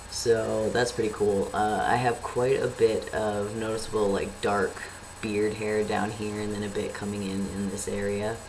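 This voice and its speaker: A man talks at a moderate pace in a monotone, flat intonation, with noticeable background noise and audible room echo. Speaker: vlogger. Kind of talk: casual video update. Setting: home webcam recording. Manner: casual, hesitant with many fillers. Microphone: poor built-in laptop webcam.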